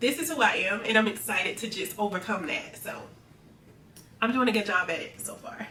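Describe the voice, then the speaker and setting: A woman with an American accent talks at a fairly quick pace, with lively intonation and big swings in loudness. Audible room echo and noticeable background noise fill the recording. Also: fairly high pitch for a woman. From US South, Central Florida. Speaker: nurse and content creator. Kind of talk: casual Q&A vlog.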